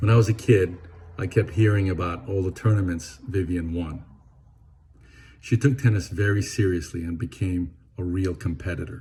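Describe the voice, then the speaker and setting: At a moderate pace with long, frequent pauses, a man speaks in a very deep, low, dark and mellow voice that is somewhat breathy and has ordinary pitch variation. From Venezuela, Caracas. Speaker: eulogist, lifelong friend of the deceased. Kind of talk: eulogy.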